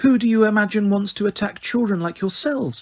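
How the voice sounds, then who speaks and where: A man performs a put-on character voice. It is high-pitched and delivered at a fairly quick pace. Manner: falsely kind.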